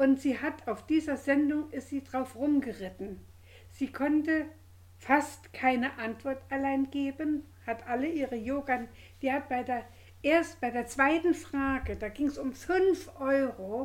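A woman speaks at a very slow pace with a high pitch and ordinary pitch variation. The recording is very clean, with a silent background. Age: old. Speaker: podcast co-host, grandmother. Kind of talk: casual chat.

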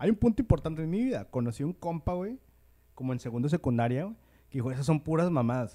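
Lively intonation shapes this man's speech. His tone is dark and mellow. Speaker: podcast host. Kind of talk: casual chat.

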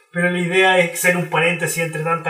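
Amid noticeable background noise and audible room echo, a man is speaking. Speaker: podcast host. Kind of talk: casual chat; scripted narration.

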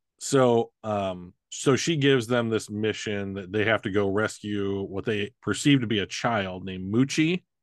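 A man with a normal speaking voice talks at a fairly slow pace with hardly any pauses. His pitch is fairly low with ordinary variation, and the sound is dry and close with no echo over a quiet background. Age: 40s. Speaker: podcast host. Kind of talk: casual chat. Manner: bantering, teasing.

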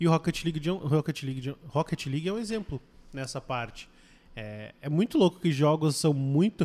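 Here a man speaks in an ordinary speaking voice, fairly high in pitch, with ordinary pitch variation. He moves at a fairly quick pace in a very clean recording with a silent background. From Curitiba, southern Brazil. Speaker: esports team coach. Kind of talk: casual chat.

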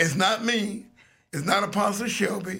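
This man's voice is high-pitched, bright and sharp, raised and projected with an animated tone. He talks at a fairly slow pace. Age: 60s. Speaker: radio host. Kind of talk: casual chat.

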